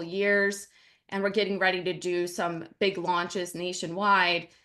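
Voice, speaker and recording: At a moderate pace, the speaker's tone comes across bright and sharp. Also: woman. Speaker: personal branding consultant. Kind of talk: presentation.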